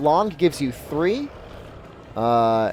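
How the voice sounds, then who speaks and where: Noticeable background noise sits behind this recording. A man speaks with an American accent. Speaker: video game streamer. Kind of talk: live stream commentary answering chat. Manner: casual, with fillers.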